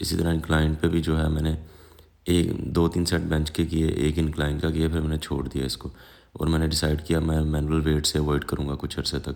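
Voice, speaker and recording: A man's very deep, low voice, monotone and flat in intonation, at a moderate pace. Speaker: fitness vlogger. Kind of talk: workout narration.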